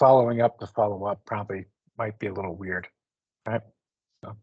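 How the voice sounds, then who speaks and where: A man rattles along very fast in a somewhat breathy voice, keeping his intonation fairly even. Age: 60s. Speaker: career mentor. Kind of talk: panel discussion. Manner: casual.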